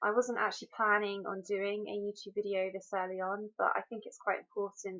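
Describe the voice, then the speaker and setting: A woman with a British accent speaks at a medium pitch in a bright, sharp tone. Her intonation is monotone and flat. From UK. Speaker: mental health blogger. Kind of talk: personal video introduction. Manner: hesitant, frequent um.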